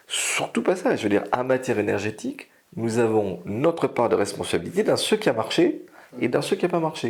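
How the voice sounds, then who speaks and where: In an unremarkable speaking voice, a man talks at a moderate pace with lively intonation and a medium pitch. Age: 60s. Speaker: energy consultant. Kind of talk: interview.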